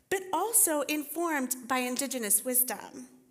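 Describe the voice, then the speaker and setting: With lively intonation and a high pitch, a woman speaks at a fairly slow pace. Audible room echo can be heard. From Costa Rica. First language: Spanish. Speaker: teaching pastor and writing teacher. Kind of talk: sermon.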